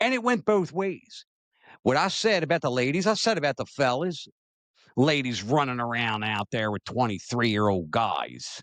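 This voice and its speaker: A man with an American accent speaks at a moderate pace and medium pitch, his pitch swinging very widely in a dry, close sound with no echo. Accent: slight Southern-sounding. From Maryland. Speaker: talk show host. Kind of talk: opinion talk show, reading viewer comments.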